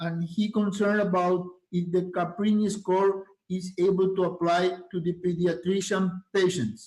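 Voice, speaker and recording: The speaker has a Spanish accent and fairly even intonation. The pace is moderate. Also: man, high pitch for a man. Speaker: moderator and interpreter. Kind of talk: interpreting.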